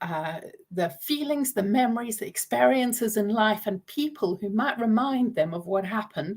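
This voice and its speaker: Somewhat breathy, a woman with a fairly high pitch speaks at a moderate pace with lively intonation. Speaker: trauma recovery coach. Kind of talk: live stream talk. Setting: live video stream.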